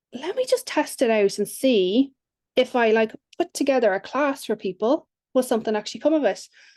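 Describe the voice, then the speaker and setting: In a dry, close sound with no echo, a woman with an Irish accent talks at a high pitch and a fairly quick pace, with ordinary pitch variation. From Ireland. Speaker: business coach. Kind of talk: podcast interview.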